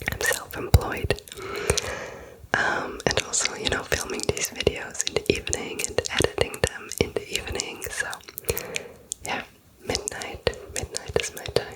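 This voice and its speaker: Whispering at a fairly slow pace, with long, frequent pauses and noticeable background noise. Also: woman. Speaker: ASMR creator. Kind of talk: casual rambling talk to camera. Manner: whispered.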